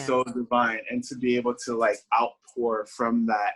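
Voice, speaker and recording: Recorded with a dry, close sound and no echo, a man with a Haitian accent talks at medium pitch with ordinary pitch variation. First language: Haitian Creole. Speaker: singer-songwriter. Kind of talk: interview answer.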